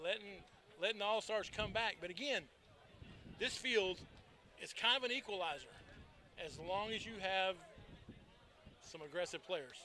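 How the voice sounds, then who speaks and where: A man raises and projects his high, bright, sharp voice, leaving long, frequent pauses. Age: 60s. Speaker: paintball commentator. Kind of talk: live commentary. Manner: animated.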